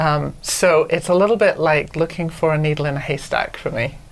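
In a Welsh accent, the speaker moves at a moderate pace with ordinary pitch variation. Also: woman. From Wales, Anglesey. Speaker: novelist, podcast co-host. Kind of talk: casual chat.

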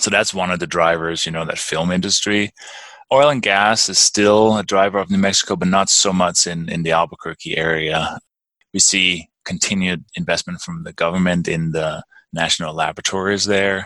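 A man with a Danish accent talks at a moderate pace in a very deep, low pitch, his tone bright and sharp. His intonation is fairly even, and the sound is dry and close with no echo. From Denmark. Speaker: real estate investor. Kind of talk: interview. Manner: halting.

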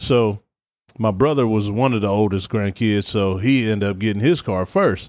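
A normal speaking voice with an American accent, moderate pace and ordinary pitch variation, on a very clean recording with a silent background. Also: man. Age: 30s. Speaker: sports podcast host and high school football coach. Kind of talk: casual sports chat.

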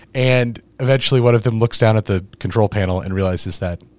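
In a very clean recording with a silent background, a man talks in a fairly low voice with ordinary pitch variation. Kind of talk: casual chat. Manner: energetic.

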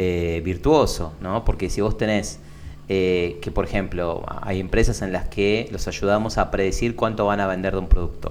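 A man's very deep, low voice with ordinary pitch variation, at a moderate pace over noticeable background noise. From Argentina, Buenos Aires (Lomas de Zamora). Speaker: tech entrepreneur. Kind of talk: interview.

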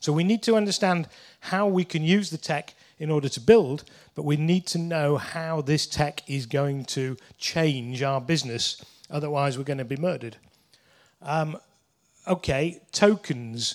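In a Yorkshire accent, a man talks at a fairly slow pace with a fairly high pitch and ordinary pitch variation. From northern England (Leeds). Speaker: lawyer. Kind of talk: conference talk. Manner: hesitant, many fillers.

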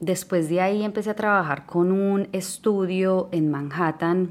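In a Colombian accent, a woman speaks at a fairly low pitch. Her pace is fairly slow and her intonation fairly even. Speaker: podcast host. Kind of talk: casual monologue.

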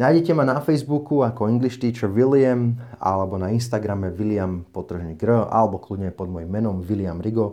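A man with a fairly low pitch and a dark, mellow tone speaks at a moderate pace with ordinary pitch variation over a quiet background. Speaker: English teacher and podcast host. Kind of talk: tutorial-style podcast monologue. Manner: unscripted, off-the-cuff.

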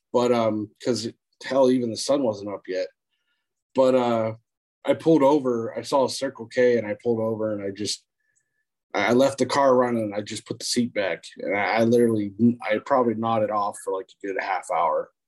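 A man with an American accent speaks in a plain, everyday voice at a medium pitch. He keeps a moderate pace and fairly even intonation. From Erie, Pennsylvania. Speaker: friend of host. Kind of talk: casual chat. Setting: video call.

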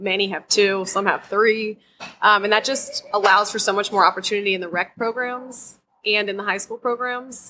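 A woman's plain, everyday voice at medium pitch, fairly even in intonation, at a moderate pace. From US Mid-Atlantic, Maryland. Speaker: high school field hockey coach. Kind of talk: interview.

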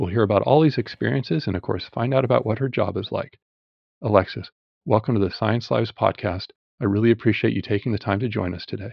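A somewhat breathy man with a fairly low pitch and ordinary pitch variation, at a very fast pace. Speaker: podcast host. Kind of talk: interview.

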